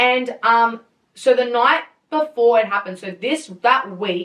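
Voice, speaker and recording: The woman's pitch is fairly high. Her intonation is lively. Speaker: podcast host. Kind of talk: casual chat. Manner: loud; animated.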